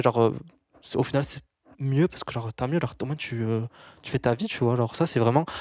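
On a very clean recording with a silent background, a man speaks at a very fast pace broken by long, frequent pauses. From rural France. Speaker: business student and influencer. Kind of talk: casual chat.

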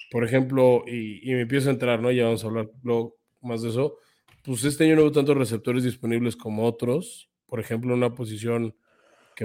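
Monotone, flat intonation from a man with a dark, mellow tone, at a fairly quick pace. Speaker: sports podcast co-host. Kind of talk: casual chat.

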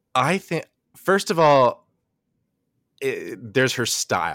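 Over a very clean recording with a silent background, a man's voice carries vocal fry in a dry, close sound without echo. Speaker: performer and podcaster. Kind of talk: casual chat, literary discussion.

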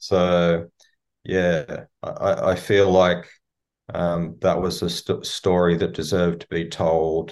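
Over a quiet background, a man with an Australian accent speaks very slowly in a very deep, low voice with monotone, flat intonation. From Melbourne, Australia. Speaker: singer-songwriter. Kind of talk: interview. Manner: thoughtful, hesitant with fillers.

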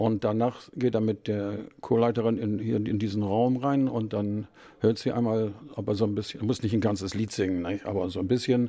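This man has a plain, everyday voice, fairly low in pitch, with fairly even intonation at a moderate pace, captured in a very clean recording with a silent background. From northern Germany, Bremen. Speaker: choir chairman. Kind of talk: interview.

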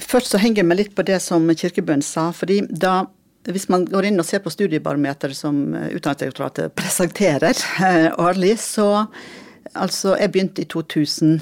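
A woman's fairly low voice at a moderate pace, with ordinary pitch variation, an ordinary speaking voice. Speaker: former school district director. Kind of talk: interview.

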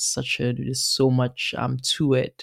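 A woman's very deep, low-pitched voice at a moderate pace, on a very clean recording with a silent background. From Nigeria. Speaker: author. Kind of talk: interview with a reading from her memoir. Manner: chatty, laughs often.

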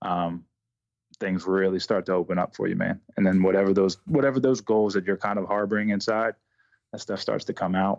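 Against a quiet background, a man uses an ordinary speaking voice, fairly low in pitch with fairly even intonation, at a fairly quick pace in a dry, close sound with no echo. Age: 30s. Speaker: basketball shooting coach. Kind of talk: casual interview.

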